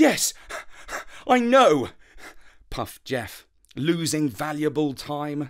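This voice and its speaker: A man's fairly high voice with very wide pitch swings, a very slow pace, and long, frequent pauses. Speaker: storyteller. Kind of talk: bedtime story narration, read aloud. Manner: calm, soothing, gentle storytelling pace.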